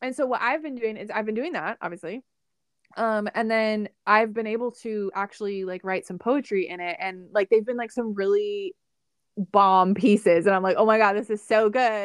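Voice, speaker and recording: Delivered at a moderate pace with ordinary pitch variation, an ordinary speaking voice comes through with a dry, close sound and no echo. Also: woman, fairly high pitch for a woman. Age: 20s. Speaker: podcast host. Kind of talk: casual chat. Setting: recorded conversation with sister.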